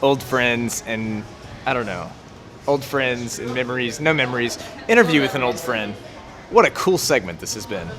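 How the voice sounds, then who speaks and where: With music playing behind him and audible room echo, a man speaks at a moderate pace and medium pitch, using ordinary pitch variation and taking long, frequent pauses. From Texas, Waco. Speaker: vlogger. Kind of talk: vlog monologue. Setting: outdoors in front of a mural.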